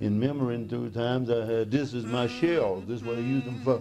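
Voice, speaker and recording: A man with a Mississippi accent, at medium pitch and a moderate pace, over noticeable background noise. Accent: Southern US (Mississippi). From Mississippi, USA. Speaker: cowboy and miner. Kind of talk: documentary interview, personal account. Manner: soft-spoken.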